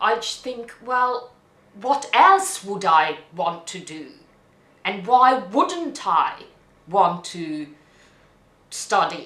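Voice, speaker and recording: A woman with a non-native accent and a fairly high, bright, sharp voice speaks at a very slow pace, with long, frequent pauses. Her pitch swings very widely and her loudness swings a lot, with audible room echo. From Hungary. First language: Hungarian. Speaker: immigrant interviewee. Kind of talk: interview testimony. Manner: halting.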